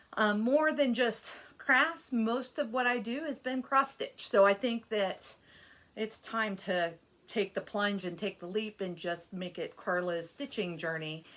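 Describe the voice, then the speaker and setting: A woman speaks at a fairly slow pace in a fairly high pitch. Her intonation is lively, and it is a plain, everyday voice. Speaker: cross stitch youtuber. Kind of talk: casual vlog chat. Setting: home desk area.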